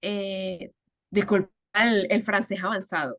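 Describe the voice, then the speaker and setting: A woman speaks in a Venezuelan accent. The sound is dry and close, with no echo. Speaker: storyteller and educator. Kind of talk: interview.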